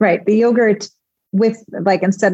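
In a Chicago accent, a woman speaks at a moderate pace and medium pitch with a dark, mellow, somewhat breathy tone, fairly even intonation, and a dry, close sound with no echo. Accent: Chicago American English. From US Midwest, Chicago. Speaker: home cook and food blogger. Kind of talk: casual interview. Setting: remote call.

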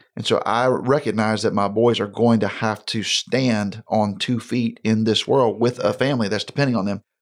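A man's ordinary speaking voice at medium pitch, moderate pace with hardly any pauses, fairly even intonation, on a very clean recording with a silent background. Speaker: pastor. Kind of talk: casual chat.

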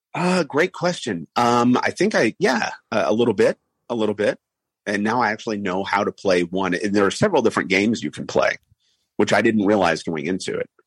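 Speaking at a fairly quick pace, a man uses lively intonation in a fairly low pitch. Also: dry, close sound with no echo. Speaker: radio news anchor and sports broadcaster. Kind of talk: casual interview.

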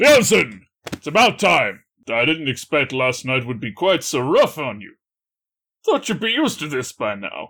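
A man performs a put-on character voice. The recording is very clean, with a silent background. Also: fairly high pitch for a man, moderate pace. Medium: actual play. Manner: boisterous, hearty, blunt.

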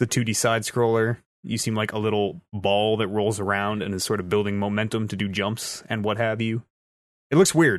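Speaking at a moderate pace, a man with a fairly low pitch uses a playful tone and fairly even intonation. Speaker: podcast host. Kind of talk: casual banter on a gaming podcast. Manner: joking, playful.

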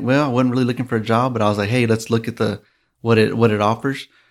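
A man with a West Texas accent and monotone, flat intonation, in a very clean recording with a silent background. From West Texas (Midland). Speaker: oilfield facility manager. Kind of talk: interview. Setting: studio. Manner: halting.

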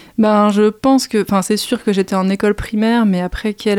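A woman speaks in a plain, everyday voice at a medium pitch. The sound is dry and close, with no echo. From Île-de-France, Val-de-Marne. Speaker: arts communications manager. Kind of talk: interview.

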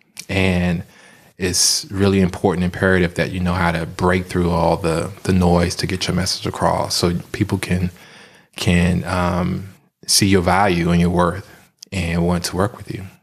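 A man speaks with an American accent in a very deep, low voice, his intonation flat and monotone. He goes at a moderate pace, and the recording is very clean with a silent background. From Washington, DC. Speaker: filmmaker and photographer. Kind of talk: casual interview. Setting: studio.

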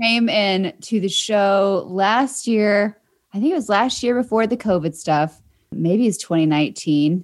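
The recording is very clean with a silent background, and a woman speaks in an unremarkable speaking voice at a medium pitch. Her intonation is lively, her loudness very even, and her pace fairly slow. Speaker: radio show producer and podcast announcer. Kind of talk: casual chat.

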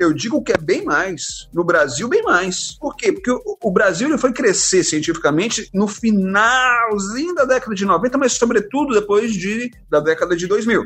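Hardly pausing, a man speaks at a high pitch with lively intonation against noticeable background noise. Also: fairly slow pace. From Brazil, Belo Horizonte then Fortaleza from early teens. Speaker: biology professor and science communicator. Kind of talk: casual interview.

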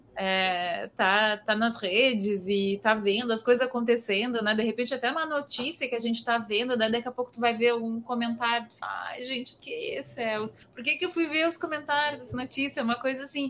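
Over noticeable background noise, a high-pitched woman talks at a moderate pace with ordinary pitch variation and hardly any pauses. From southern Brazil, Pelotas. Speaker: podcast host. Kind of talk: casual chat. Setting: video call.

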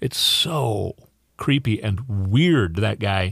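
A man's voice with vocal fry and an Upper Midwest accent, in a dry, close sound with no echo. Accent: Upper Midwest (Minnesota). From Minnesota. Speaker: fill-in radio host. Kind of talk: political talk radio monologue. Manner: halting, many fillers.

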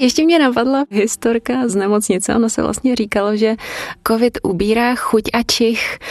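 Noticeable background noise sits behind a woman speaking at a moderate pace with fairly even intonation, the sound dry and close with no echo. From Brno, Moravia, Czechia. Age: 30s. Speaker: foreign language teacher. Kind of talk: personal testimony.

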